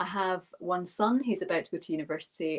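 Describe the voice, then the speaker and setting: With a Scottish accent, a woman speaks at a medium pitch and a fairly slow pace, her pitch varying in an ordinary way. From Scotland. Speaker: minister and yoga teacher. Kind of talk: webinar talk.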